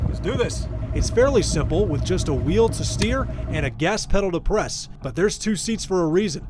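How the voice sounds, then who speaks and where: Moderate pace against noticeable background noise. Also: man. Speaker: sports anchor / reporter. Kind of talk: sports news reporter package.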